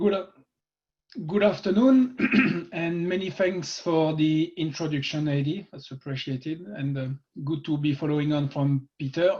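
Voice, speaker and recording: Speaking with a French accent, a man with a fairly high pitch talks at a fairly slow pace with lively intonation. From France. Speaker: construction executive. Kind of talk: webinar talk.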